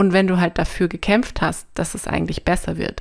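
The recording is very clean and the background is silent. Her pace is moderate as this woman speaks. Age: 30s. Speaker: podcast guest with chronic back problems. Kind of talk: personal testimony in interview.

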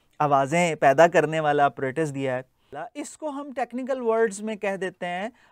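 Against a quiet background, a man speaks fairly slowly in a high voice, his pitch swinging very widely and his loudness rising and falling a lot, with a dry sound and no echo. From Pakistan. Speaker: linguistics lecturer. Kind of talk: lecture. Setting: classroom. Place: classroom. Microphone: lapel.

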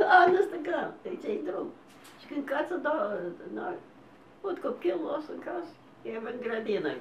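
A high-pitched woman at a fairly slow pace, with very wide pitch swings, big swings in loudness, long, frequent pauses, audible room echo and light background noise. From Canada. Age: 90s. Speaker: elderly interviewee; interviewee. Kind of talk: oral history interview. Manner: halting. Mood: warm, smiling. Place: home room. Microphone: camera far.

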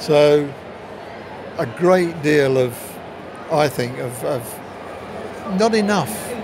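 The sound is dry, with no echo. Noticeable background noise runs underneath. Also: man. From England. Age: 70s. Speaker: retired cricketer. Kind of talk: interview answer. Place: stadium. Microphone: phone near.

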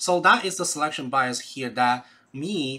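A man with a Chinese accent speaks at a moderate pace in a fairly high pitch. His tone is bright and sharp, with ordinary pitch variation. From China. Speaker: educator, YouTube channel host. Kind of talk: casual educational talk. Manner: animated, conversational. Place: home room. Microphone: webcam.

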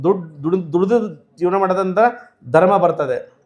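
This man has a high pitch. His intonation is fairly even. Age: 50s. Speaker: religious leader. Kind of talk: sermon.

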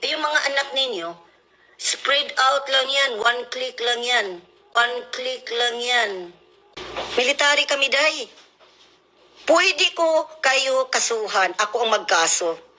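A woman with a high pitch uses a raised, projected voice and lively intonation. She moves at a very slow pace with long, frequent pauses. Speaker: military spouse. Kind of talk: angry rant. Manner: animated.

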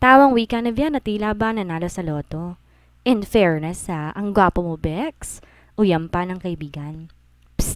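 A woman's medium-pitched voice with an animated tone and lively intonation at a fairly slow pace, in a very clean recording with a silent background. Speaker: audiobook-style story narrator.

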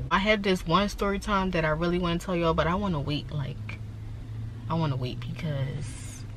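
Delivered at a moderate pace, the speech has a dry sound with no echo and noticeable background noise behind it. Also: woman. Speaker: vlogger. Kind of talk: casual vlog chat. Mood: relaxed, chatty, hungry. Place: car. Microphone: phone near.

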